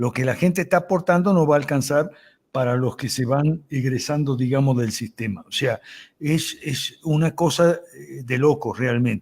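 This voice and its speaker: A man's somewhat breathy voice sits at a fairly high pitch with ordinary pitch variation, on a very clean recording with a silent background. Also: moderate pace. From Argentina. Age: 70s. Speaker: lawyer and political commentator. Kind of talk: interview.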